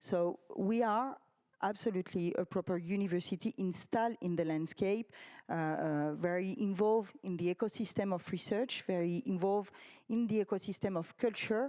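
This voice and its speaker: Recorded very cleanly against a silent background, with a dry, close sound and no echo, a woman speaks in a French accent at a medium pitch and moderate pace, her dark, mellow tone carrying ordinary pitch variation. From France. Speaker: university representative. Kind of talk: panel discussion. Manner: halting.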